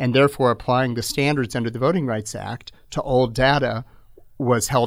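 A man's ordinary speaking voice at medium pitch with a General American accent and a moderate pace, on a very clean recording with a silent background. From Phoenix, Arizona. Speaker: attorney and political activist. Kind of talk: interview.

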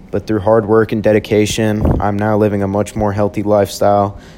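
A man with an American accent talks at a fairly quick pace in a fairly low pitch, his intonation monotone and flat. Noticeable background noise sits behind him. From Texas, Houston. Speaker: college student. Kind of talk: scripted narration.

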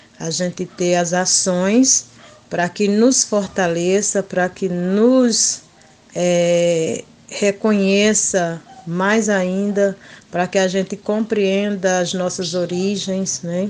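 A woman talks at a very slow pace, her intonation fairly even. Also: medium pitch for a woman. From Pernambuco backlands, northeast Brazil. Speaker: schoolteacher and quilombola community leader. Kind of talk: interview. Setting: remote call. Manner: frequent hesitations and filler né.

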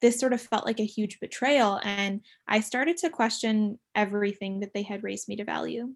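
In a plain, everyday voice, a woman speaks at a fairly high pitch and a moderate pace over a quiet background. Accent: American. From San Diego, California. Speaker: student podcast co-host. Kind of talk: casual chat.

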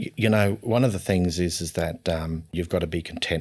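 The recording is very clean, with a silent background. A man with an Australian accent speaks in a very deep, low pitch. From North Queensland, Australia. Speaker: state politician. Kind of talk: interview. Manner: soft-spoken; halting.

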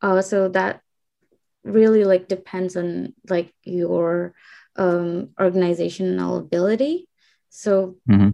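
The speech moves at a very slow pace with fairly even intonation and a dark, mellow tone. The background is quiet. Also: woman, medium pitch for a woman. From Indonesia. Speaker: graduate student, intern. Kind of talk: casual interview. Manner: hesitant, many fillers.

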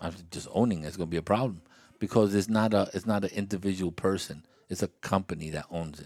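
A man's very deep, low voice at a very fast pace, with ordinary pitch variation and big swings in loudness. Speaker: after-school club podcast host. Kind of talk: casual interview with children. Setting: kids' clubhouse. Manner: animated, playful.

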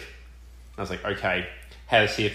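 With an Australian accent, the speaker goes at a fairly quick pace amid audible room echo. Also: man. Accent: thick Australian. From Australia, Melbourne. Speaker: college football punter. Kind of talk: casual chat.

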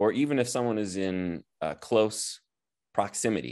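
At a very slow pace, a man with an American accent talks in a fairly low pitch against a quiet background. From US Midwest (Nebraska). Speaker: chiropractor and healer. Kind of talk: interview.

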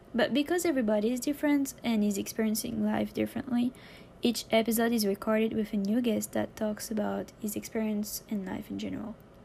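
At a fairly quick pace, a woman speaks with a French accent. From France. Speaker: podcast host. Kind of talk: scripted introduction; casual interview.

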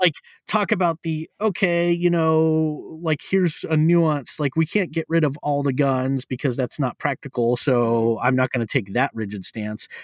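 A man with a plain, everyday voice, fairly high in pitch, with lively intonation at a moderate pace, hardly any pauses, and a dry, close sound with no echo. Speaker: podcast host. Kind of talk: casual chat.

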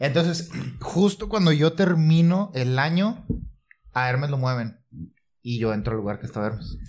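A man's somewhat breathy voice rises and falls in very wide pitch swings. He leaves long, frequent pauses. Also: fairly high pitch for a man, moderate pace. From Santiago, Nuevo León, Mexico. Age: 30s. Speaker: cooking YouTuber. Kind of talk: casual chat.

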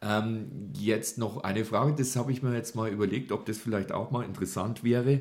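Speaking at a moderate pace with hardly any pauses, a man with medium pitch, ordinary pitch variation and vocal fry carries on. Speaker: podcast host. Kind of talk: bilingual interview. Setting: small studio. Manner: hesitant with fillers.

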